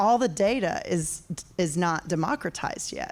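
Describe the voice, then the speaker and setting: A woman at medium pitch, lively intonation and a fairly slow pace. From North Carolina. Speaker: audience member at tech event. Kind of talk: audience question.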